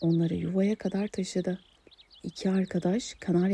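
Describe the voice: The clip is plain reading aloud, and the intonation stays fairly even.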